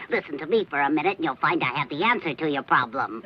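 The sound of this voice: This cartoonish character voice sits at a middle pitch. It races along at a very fast pace.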